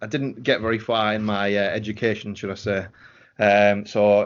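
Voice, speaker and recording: Over a quiet background comes a man's voice at a fairly low pitch. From northeast England. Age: 30s. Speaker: voice actor and podcast writer. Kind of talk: podcast interview. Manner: hesitant, many fillers.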